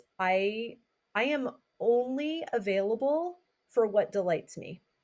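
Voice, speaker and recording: The intonation of this woman's voice is lively. She talks with an American accent. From Southern California. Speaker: B&B owner and retreat host. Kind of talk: interview conversation.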